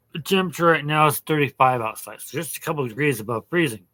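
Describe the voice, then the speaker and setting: A man's fairly high, bright, sharp voice with an American accent and ordinary pitch variation, in a very clean recording with a silent background. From Oregon. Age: 60s. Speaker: hobbyist maker and vlogger. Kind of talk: casual vlog talk. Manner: halting, with fillers and repetitions.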